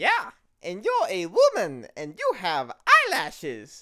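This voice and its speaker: This is a put-on character voice that sounds female. It moves at a fairly slow pace. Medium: comedy sketch.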